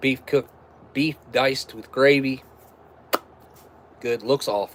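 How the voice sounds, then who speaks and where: With an American accent, a man talks at a very slow pace and a medium pitch. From West Virginia. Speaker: MRE taste-test streamer. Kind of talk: casual live stream chat. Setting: live stream.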